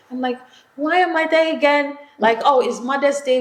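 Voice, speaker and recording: Speech moves at a moderate pace. There is noticeable background noise. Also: woman. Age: 40s. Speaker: media entrepreneur. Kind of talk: casual interview chat.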